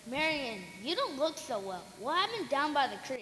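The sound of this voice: This put-on character voice has a bright, sharp tone and big pitch swings. It moves at a moderate pace. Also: woman, high pitch for a woman.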